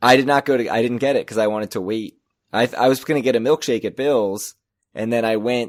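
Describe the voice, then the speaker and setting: A man's very fast, fairly even speech at a medium pitch, dry and close with no echo, on a very clean recording with a silent background. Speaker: casino podcast co-host. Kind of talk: casual chat.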